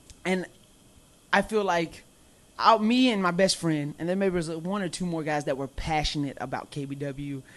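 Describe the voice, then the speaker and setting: Over a quiet background, a man with a slight Southern US accent talks loudly at a moderate pace, his voice high-pitched with ordinary pitch variation. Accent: slight Southern twang. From US South, Mobile, Alabama. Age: 20s. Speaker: professional wrestler. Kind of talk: casual chat.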